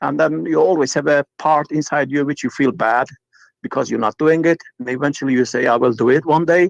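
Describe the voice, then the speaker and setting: Speaking with a Turkish accent, a man uses a fairly high pitch, ordinary pitch variation and a fairly quick pace, in a dry, close sound with no echo. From Turkey. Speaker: caller. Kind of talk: casual chat. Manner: halting.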